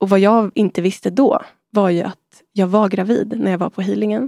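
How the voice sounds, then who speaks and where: Her speech has a dark, mellow tone, a medium pitch and fairly even intonation. The woman talks at a moderate pace in a dry, close sound with no echo. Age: 30s. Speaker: artist and sound healer. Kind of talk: personal testimony in casual chat.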